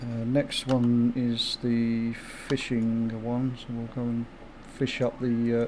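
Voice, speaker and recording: The voice has a dark, mellow tone and a southeast English accent. Its intonation is monotone and flat, at a very slow pace. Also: man. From southeast England, Kent. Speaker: gaming streamer. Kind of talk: casual livestream chat.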